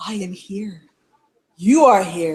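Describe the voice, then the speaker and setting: A put-on character voice at a middle pitch. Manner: creepy.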